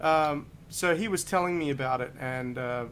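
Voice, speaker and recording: With audible room echo, a man with an Australian accent speaks at a very slow pace. His pitch is fairly high, with ordinary variation. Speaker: saxophonist and educator. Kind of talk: interview conversation.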